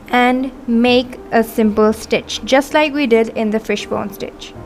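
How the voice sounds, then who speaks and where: The woman's high-pitched voice is heard with music behind it. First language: not English. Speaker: embroidery artist. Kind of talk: tutorial. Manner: instructional, measured.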